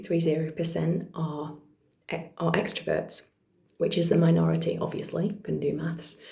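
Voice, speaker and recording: A woman with a British accent speaks quietly at a moderate pace in a fairly low pitch, with a dark, mellow tone, vocal fry and audible room echo. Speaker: vlogger and actor. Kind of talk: casual vlog monologue. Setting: at home, partner asleep next room. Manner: trying to speak quietly; many fillers, unscripted.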